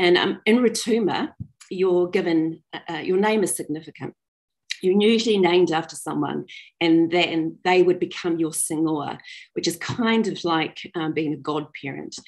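A moderate pace with ordinary pitch variation over a quiet background. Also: woman, fairly low pitch for a woman. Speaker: storyteller. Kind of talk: personal storytelling talk. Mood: warm, smiling. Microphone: video call.

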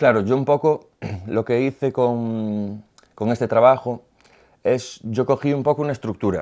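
Against a quiet background, a man speaks fairly slowly in a dark, mellow tone with fairly even intonation. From Galicia, Spain (Boiro); Galicia, Spain. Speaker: visual artist; interviewee. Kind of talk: interview; interview answer. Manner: halting, with repetitions. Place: studio.

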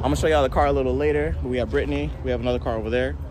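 Very fast speech in a dry sound with no echo, over noticeable background noise. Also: man. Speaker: car vlogger. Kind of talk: casual vlog chat. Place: street. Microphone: phone near.

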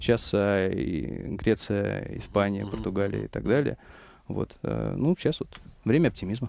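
A man at a moderate pace, with long, frequent pauses and a dry sound with no echo. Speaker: investment company managing director. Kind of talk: radio talk show discussion. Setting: studio. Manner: halting. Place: studio. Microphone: headset.

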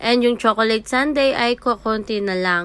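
This woman has an unremarkable speaking voice, fairly high in pitch, and she talks at a moderate pace with fairly even intonation. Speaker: sari-sari store owner vlogger. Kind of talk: casual vlog narration. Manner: chatty, code-switching Taglish.

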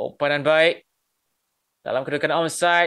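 Against a quiet background, a man speaks in a bright, sharp tone with ordinary pitch variation. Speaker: football commentator. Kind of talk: live sports commentary. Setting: stadium commentary broadcast. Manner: builds excitement on chances and goals.

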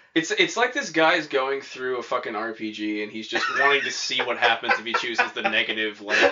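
A man delivers his words at a moderate pace while noticeable background noise carries on. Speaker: podcast co-host. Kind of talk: informal slang. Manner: casual, profane, rambling with many fillers.

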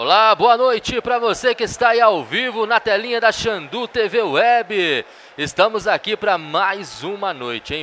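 A high-pitched man talks in a raised, projected voice at a fairly slow pace. Light background noise sits behind him. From Brazil. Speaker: futsal play-by-play announcer. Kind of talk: live sports commentary; sports commentary. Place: hall.

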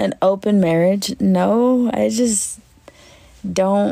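A woman's medium-pitched voice, dark and mellow with vocal fry, at a very slow pace.

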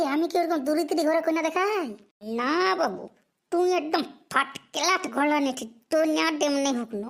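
In a cartoonish character voice, a woman speaks high-pitched at a moderate pace. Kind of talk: comic overacting. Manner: fast, rambling, stuttering.

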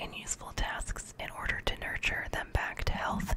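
Whispering and soft-spoken, a woman talks at a moderate pace over noticeable background noise. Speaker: reader. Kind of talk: reading a textbook aloud with brief asides. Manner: soft whispered reading close to mic. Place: home room. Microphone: studio mic.

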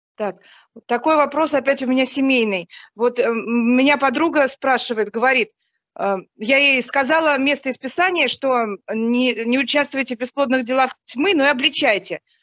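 A woman speaks at a moderate pace in a high pitch with ordinary pitch variation and very even loudness, over a quiet background with a dry sound and no echo. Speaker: mother of two sons, churchgoer. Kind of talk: question to a religious teacher. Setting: online group call. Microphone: video call.

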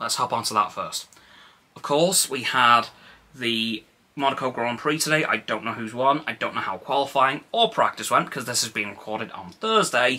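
A man's bright, sharp voice at a moderate pace. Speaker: vlogger. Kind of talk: casual vlog chat. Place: home room. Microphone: phone near.

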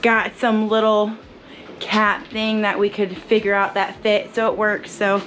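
A woman speaks at a fairly slow pace with monotone, flat intonation and very even loudness. Light background noise sits behind her. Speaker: travel vlogger. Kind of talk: casual vlog chat. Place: home room. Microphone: phone near.

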